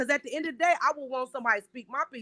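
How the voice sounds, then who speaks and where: A woman's raised, projected voice has a bright, sharp, animated tone, heard dry and close with no echo. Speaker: podcast host. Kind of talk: casual chat. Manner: loud.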